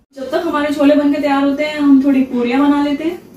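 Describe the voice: A woman's high yet dark, mellow voice at a fast pace, little pitch movement, audible room echo.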